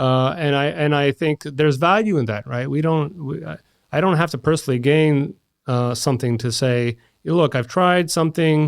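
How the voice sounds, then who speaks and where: A man with an American accent has a plain, everyday voice, pitched fairly high, with ordinary pitch variation. He keeps a moderate pace in a very clean recording with a silent background. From Washington DC, US. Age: 40s. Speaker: engineering innovation lead. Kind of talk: podcast interview.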